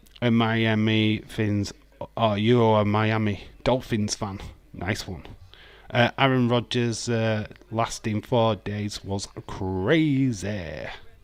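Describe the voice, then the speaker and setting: Speaking very slowly with a Yorkshire accent, a man uses a fairly low-pitched voice. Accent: broad Yorkshire. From Yorkshire, England. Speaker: streamer reading live chat. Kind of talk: informal, profane. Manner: casual, sweary, chatty.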